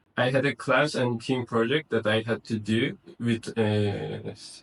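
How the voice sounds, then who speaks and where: With a non-native accent, a man talks at medium pitch and a fairly slow pace, using fairly even intonation and hardly any pauses. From Kazakhstan. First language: not English. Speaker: university student. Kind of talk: interview. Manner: halting, many fillers.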